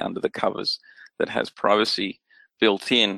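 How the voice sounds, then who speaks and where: A man talks at a moderate pace with an Australian accent. The sound is dry and close with no echo. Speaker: security technology expert. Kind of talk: interview.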